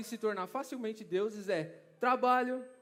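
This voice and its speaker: In a São Paulo accent, a man speaks at a moderate pace with a high pitch and an animated tone. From Brazil, São Paulo. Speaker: preacher. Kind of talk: sermon. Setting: church conference stage with audience.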